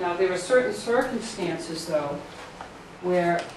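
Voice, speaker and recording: A woman talks with ordinary pitch variation. Noticeable background noise and audible room echo surround her voice. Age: 60s. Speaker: pro-life educator. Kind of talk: Q&A with students.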